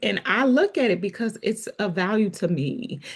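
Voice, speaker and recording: Over a quiet background, a woman speaks fairly slowly with vocal fry and very wide pitch swings. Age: 40s. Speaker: podcast host. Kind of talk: casual chat.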